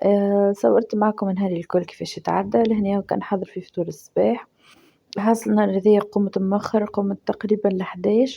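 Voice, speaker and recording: A woman with a Tunisian accent, medium pitch, fairly even intonation and a moderate pace. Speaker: lifestyle vlogger. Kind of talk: casual vlog narration.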